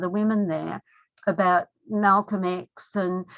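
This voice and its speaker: A woman is talking here. Her accent is Australian. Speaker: feminist lawyer.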